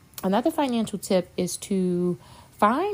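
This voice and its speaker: Her voice sits at a medium pitch with lively intonation. The woman speaks at a fairly slow pace. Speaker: personal finance youtuber. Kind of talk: casual tutorial. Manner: halting with fillers and restarts.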